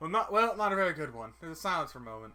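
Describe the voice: What's heard here is plain reading aloud.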